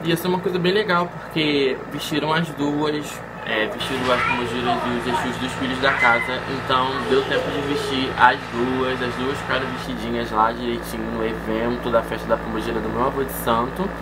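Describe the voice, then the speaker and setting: There is music in the background. A man speaks through it with hardly any pauses. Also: moderate pace. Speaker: vlogger. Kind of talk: casual vlog chat. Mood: cheerful, joking. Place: home room. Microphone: phone near.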